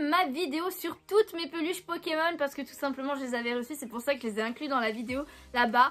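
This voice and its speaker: Intonation lively, a woman speaks at a high pitch. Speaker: YouTuber, manga and Pokémon collector. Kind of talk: unboxing video, casual talk to viewers. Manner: hesitant, many fillers.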